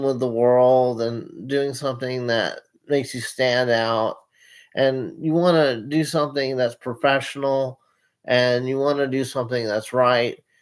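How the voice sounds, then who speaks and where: A man's medium-pitched voice at a fairly slow pace, with fairly even intonation, in a very clean recording against a silent background. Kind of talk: casual monologue to camera. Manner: halting, many repetitions and fillers.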